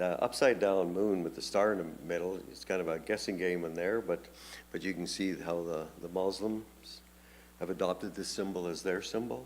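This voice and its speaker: A man with a very deep, low pitch talks using ordinary pitch variation. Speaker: pastor. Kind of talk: Bible study teaching. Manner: fast; halting, many fillers and repetitions.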